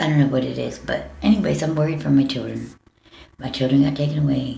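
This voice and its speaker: A woman with an American accent talks at a very fast pace amid audible room echo. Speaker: vlogger. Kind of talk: personal video appeal. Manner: halting.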